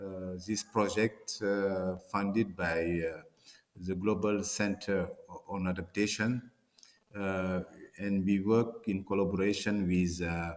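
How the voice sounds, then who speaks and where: A man's fairly low voice with a French accent, at a very slow pace with fairly even intonation, on a very clean recording against a silent background. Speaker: professor, water resource scientist. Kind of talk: conference presentation. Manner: hesitant, many fillers and repetitions.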